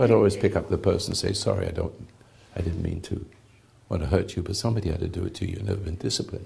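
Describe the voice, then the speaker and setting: A man talks very fast with a very deep, low pitch and vocal fry. His tone is dark and mellow, his intonation fairly even. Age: 80s+. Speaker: spiritual teacher. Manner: halting.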